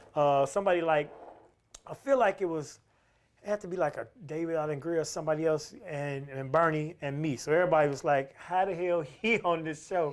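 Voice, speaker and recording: A man's fairly high-pitched, ordinary speaking voice, with ordinary pitch variation and a fairly quick pace. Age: 50s. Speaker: stand-up comedian. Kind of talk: casual interview storytelling.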